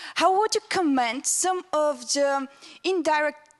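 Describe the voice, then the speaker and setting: A woman with a Bulgarian accent speaks with lively intonation in a dry, close sound with no echo. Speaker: student audience member. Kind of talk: audience question.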